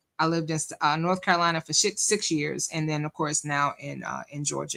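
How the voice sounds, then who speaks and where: With a northern US accent, a woman speaks very fast. Her tone is animated. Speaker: live-stream commentator. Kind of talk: live-stream reaction commentary. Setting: live stream with chat. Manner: casual, animated.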